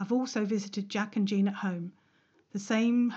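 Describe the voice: The intonation is fairly even. It is plain reading aloud.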